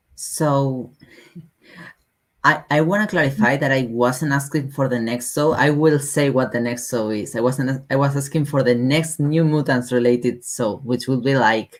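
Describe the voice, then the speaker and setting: A woman with a non-native accent speaks at a moderate pace in a very deep, low voice with fairly even intonation, in a very clean recording with a silent background. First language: not English. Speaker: podcast host. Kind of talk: casual podcast discussion.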